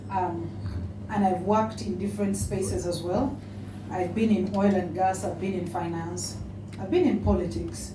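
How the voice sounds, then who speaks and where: A woman with a Ugandan accent at a moderate pace, amid noticeable background noise and audible room echo. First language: a Ugandan language. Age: 40s. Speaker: politician and author. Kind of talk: speech. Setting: awards dinner with audience.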